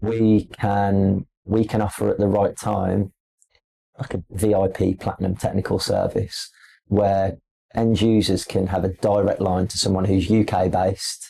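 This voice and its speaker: A man's fairly slow, somewhat breathy voice, fairly low in pitch, with a dark, mellow tone and monotone, flat intonation. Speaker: display company representative. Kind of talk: podcast interview. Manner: casual, with frequent fillers and repetitions.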